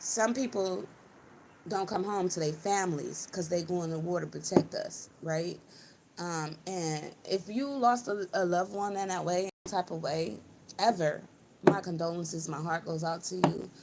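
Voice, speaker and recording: With noticeable background noise behind her, a woman speaks at a moderate pace and a fairly low pitch, with ordinary pitch variation. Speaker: spiritual channeler livestreamer. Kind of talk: live stream spiritual channeling monologue. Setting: live stream. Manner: casual, rambling with fillers.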